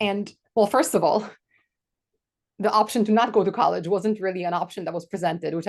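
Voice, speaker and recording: A woman with a Polish accent speaks at a medium pitch with fairly even intonation against a quiet background. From Poland. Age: 40s. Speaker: podcast co-host. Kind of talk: casual chat.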